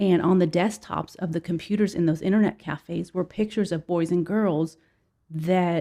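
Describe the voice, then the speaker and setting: In an American accent, a woman speaks at a fairly low pitch with a dark, mellow tone and fairly even intonation. Her pace is moderate, and the recording is very clean with a silent background. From Southern California, East LA suburb. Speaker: ministry leader. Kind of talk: interview testimony.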